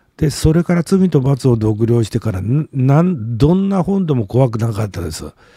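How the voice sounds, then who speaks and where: Recorded with a dry, close sound and no echo, a man at medium pitch talks at a moderate pace, his somewhat breathy, dark, mellow tone making very wide pitch swings. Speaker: literature commentator and blogger. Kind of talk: solo video monologue. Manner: halting, many filler words.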